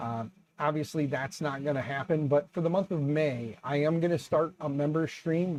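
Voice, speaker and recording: A man speaks in an ordinary speaking voice at a fairly high pitch. His pace is moderate. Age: 40s. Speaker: YouTube 3D printing streamer. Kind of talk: casual live stream chat. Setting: live stream with webcam. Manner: conversational, relaxed.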